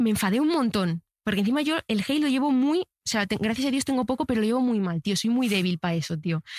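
A woman with a fairly high, somewhat breathy voice speaks very fast in an animated tone, with very wide pitch swings, very even loudness and hardly any pauses, on a very clean recording with a silent background and a dry, close sound with no echo. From Spain, small town. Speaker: TikTok content creator. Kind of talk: casual interview chat.

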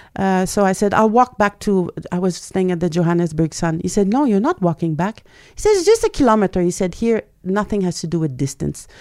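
A woman with a Quebec accent talks at a fairly quick pace in a dry, close sound with no echo. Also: medium pitch for a woman, ordinary pitch variation. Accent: French Canadian accent in English. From Quebec, Canada (French Canadian). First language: French. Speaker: journalist and writer. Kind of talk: interview.

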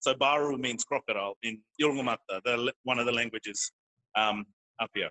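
Using fairly even intonation and a medium pitch, a man with an Australian accent keeps a moderate pace broken by long, frequent pauses. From North Queensland, Australia. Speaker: teacher. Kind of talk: interview. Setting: parents' room of a child play area. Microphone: poor internet audio.

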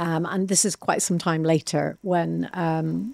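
A woman speaks with an Irish accent, and the sound is dry and close with no echo. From Ireland. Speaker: entrepreneur and former athlete. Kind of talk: interview.

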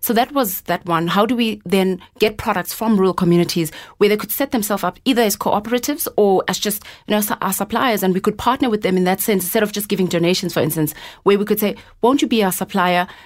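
At a very fast pace, a woman speaks at medium pitch on a very clean recording with a silent background. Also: ordinary pitch variation. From South Africa, Eastern Cape coast. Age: 20s. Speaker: entrepreneur. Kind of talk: interview.

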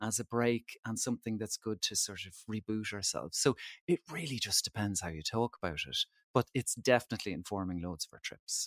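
In an Irish accent, a man of medium pitch talks at a fairly quick pace with ordinary pitch variation, the sound dry and close with no echo on a very clean recording with a silent background. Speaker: travel editor. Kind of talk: casual interview chat.

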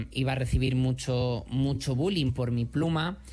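A man speaks fairly slowly in a somewhat breathy, fairly high voice. The recording is very clean, with a silent background. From Madrid, Spain. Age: 30s. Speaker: HIV activist and author. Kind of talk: interview.

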